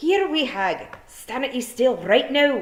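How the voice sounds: Speaking slowly in a put-on character voice, a woman swings her high pitch widely while room echo is audible.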